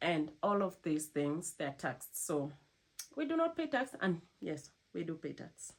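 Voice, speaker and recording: With a non-native accent, a woman speaks in a very deep, low voice. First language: not English. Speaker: cruise ship crew member vlogger. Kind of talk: casual vlog talk to camera.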